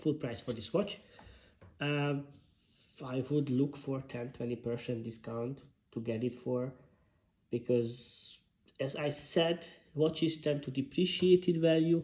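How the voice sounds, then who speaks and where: A man with a fairly high, somewhat breathy voice and a dark, mellow tone speaks at a fairly slow pace, with ordinary pitch variation and long, frequent pauses. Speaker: watch reviewer. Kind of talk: product review. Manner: hesitant, with fillers.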